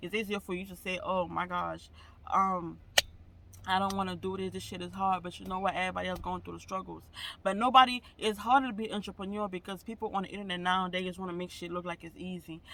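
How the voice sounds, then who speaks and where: Projecting loudly at a very fast pace, a man delivers a bright, sharp tone at a high pitch with fairly even intonation. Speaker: vlogger. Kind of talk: casual vlog monologue.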